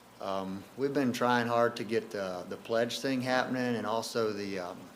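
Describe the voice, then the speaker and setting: A man at a moderate pace amid audible room echo. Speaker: camp staff member. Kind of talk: presentation. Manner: casual, filler-heavy.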